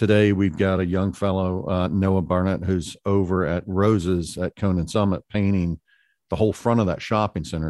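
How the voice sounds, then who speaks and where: Man with a very deep, low pitch, fairly even intonation and moderate pace. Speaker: restaurateur and art sponsor. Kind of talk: casual interview chat.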